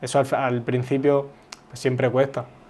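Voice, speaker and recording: Slowly, though not very slowly, a man speaks at a fairly slow pace. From Uruguay, raised in Spain (Zaragoza). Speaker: footballer. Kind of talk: interview. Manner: casual, hesitant with repetitions.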